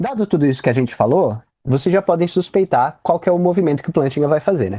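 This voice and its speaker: This man has a high pitch and a dark, mellow tone with lively intonation. The sound is dry and close, with no echo. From Brazil, Campinas region (São Paulo). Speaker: philosophy graduate student and apologetics group leader. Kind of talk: online lecture presentation. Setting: online live stream with chat. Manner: fast.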